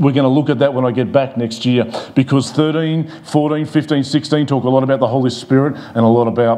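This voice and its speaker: A man talks at a moderate pace. His pitch variation is ordinary. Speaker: pastor. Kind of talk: sermon. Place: church. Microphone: lapel.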